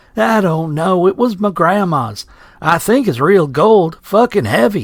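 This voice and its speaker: Putting on a guttural character voice, a man speaks fairly slowly at a high pitch with very wide swings. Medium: read story. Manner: crude, coarse.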